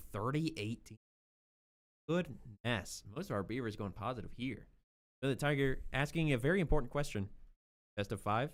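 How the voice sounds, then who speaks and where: A man with an American accent talks at a medium pitch and moderate pace, using lively intonation and long, frequent pauses. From Missouri. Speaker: esports commentator. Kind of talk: live commentary. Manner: animated.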